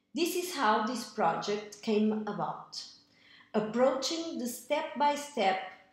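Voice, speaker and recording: Speaking very slowly at a fairly high pitch, a woman uses lively intonation while audible room echo surrounds her. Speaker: echocardiographer. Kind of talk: tutorial.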